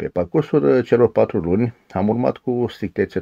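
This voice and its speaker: Against a quiet background, a man talks at a moderate pace with lively intonation and vocal fry. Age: 50s. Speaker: diet program participant. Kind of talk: testimony. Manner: formal. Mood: calm, pleased. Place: home room. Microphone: phone near.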